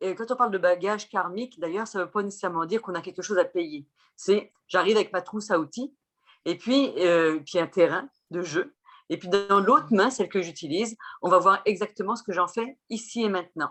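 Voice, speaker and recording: Music plays in the background as a woman talks fairly quickly at a medium pitch with ordinary pitch variation. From France. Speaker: chirologist and Vedic astrologer. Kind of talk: interview explanation.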